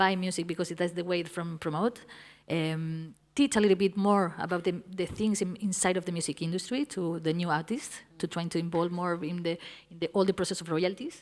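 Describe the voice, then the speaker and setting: Fairly quick and fairly even in intonation, a woman with a Spanish accent speaks at a fairly low pitch in a very clean recording with a silent background. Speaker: music industry panelist. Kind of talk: panel discussion. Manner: halting, repeats words.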